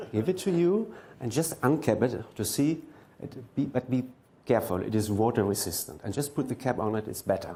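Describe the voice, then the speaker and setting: At a fairly quick pace, a dark, mellow, somewhat breathy voice moves with lively intonation amid audible room echo. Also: man, medium pitch for a man. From Germany. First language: German. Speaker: mentalist. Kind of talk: stage performance. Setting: stage with audience.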